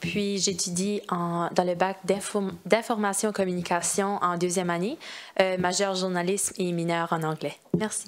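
This woman's voice sits fairly low and shows little pitch movement. She keeps a moderate pace.

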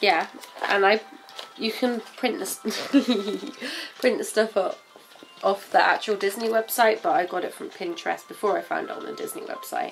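Faint music plays in the background. The pace is moderate. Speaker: parent vlogger. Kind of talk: casual vlog chat. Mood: playful, laughing. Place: home room. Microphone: phone near.

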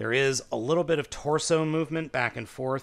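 Here a man talks at a fairly slow pace. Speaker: toy reviewer. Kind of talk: product review commentary.

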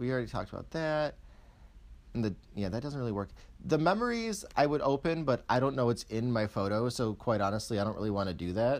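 At a fairly quick pace, a man talks in a normal speaking voice, his medium pitch carried by lively intonation. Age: 20s. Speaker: YouTuber. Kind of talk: tech review. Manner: casual.

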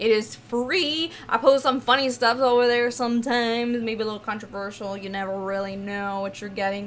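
A woman with an animated tone, ordinary pitch variation and a fairly quick pace, over light background noise. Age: 20s. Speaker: gaming YouTuber and streamer. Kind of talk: casual Q&A video. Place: home room.

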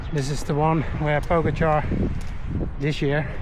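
A man talks at a fairly slow pace in a monotone, flat intonation, with a dry sound with no echo and noticeable background noise. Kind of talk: casual vlog chat. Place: open country. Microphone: phone near.

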